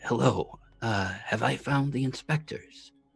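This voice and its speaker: A man does a raspy put-on character voice at a medium pitch and a fairly slow pace. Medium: actual play. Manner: polite, formal.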